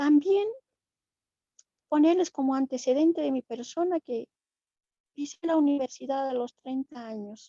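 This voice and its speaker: A woman's high-pitched, dark, mellow voice with ordinary pitch variation, a fairly slow pace and an Andean accent, the sound dry and close with no echo. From Bolivia, Aymara community of Chirapaca (Andean highlands). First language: Aymara (speaking Spanish). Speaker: invited panelist in a theology dialogue. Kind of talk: panel discussion, commenting and asking questions. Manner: halting, with many fillers and restarts.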